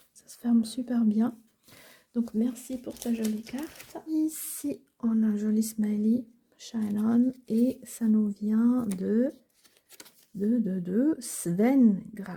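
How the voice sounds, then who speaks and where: With long, frequent pauses and big swings in loudness, a woman speaks at a fairly high pitch in a dark, mellow tone. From Switzerland, Basel (German-speaking). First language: Swiss German (speaking French). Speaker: crafting YouTuber. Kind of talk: casual show-and-tell. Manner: animated.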